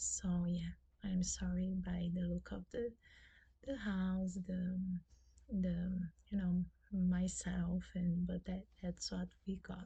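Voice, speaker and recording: The speaker has a Brazilian Portuguese accent and talks at a very slow pace. Long pauses come often. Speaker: booktuber. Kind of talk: casual vlog talk. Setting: at home. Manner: halting, many fillers.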